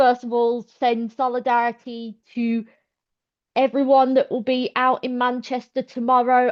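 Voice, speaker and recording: A woman with a Birmingham accent talks at a moderate pace. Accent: Birmingham (Brummie). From South Birmingham, England. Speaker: activist. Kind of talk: public meeting speech.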